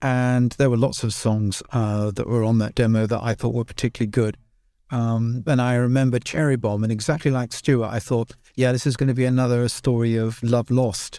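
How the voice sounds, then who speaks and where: A man of medium pitch with a British accent and a dark, mellow tone speaks in a monotone, flat way at a moderate pace, in a very clean recording with a silent background. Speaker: podcast host and band member. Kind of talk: casual chat.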